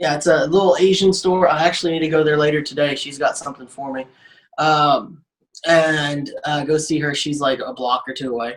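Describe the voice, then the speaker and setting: With a Southern US accent, a man speaks at a moderate pace and fairly high pitch, keeping his intonation fairly even. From Arkansas. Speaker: comedian. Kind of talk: casual chat. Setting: studio. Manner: halting.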